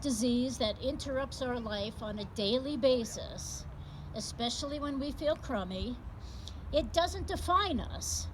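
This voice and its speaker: A woman speaks at a fairly slow pace, with audible room echo and noticeable background noise. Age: 60s. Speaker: patient advocate speaker. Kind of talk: public speech. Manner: animated.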